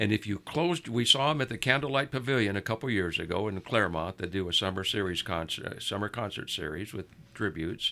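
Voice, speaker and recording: A man with a West Coast US accent talks very fast, with hardly any pauses. His tone is bright and sharp, and his intonation lively. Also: fairly low pitch for a man. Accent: General American (West Coast). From US West Coast, Southern California. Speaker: music fan. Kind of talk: casual chat.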